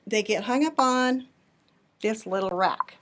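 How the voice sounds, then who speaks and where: Soft-spoken, a woman talks at a fairly high pitch. Her intonation is lively and her pace moderate. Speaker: in-house longarm quilter. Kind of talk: tutorial. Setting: live video shop tour.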